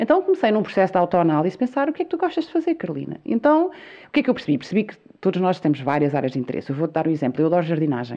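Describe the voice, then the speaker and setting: Talking at a very fast pace, a woman with a medium pitch makes very wide pitch swings. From Azores, Portugal (São Miguel). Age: 40s. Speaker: entrepreneur, video maker. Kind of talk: interview conversation.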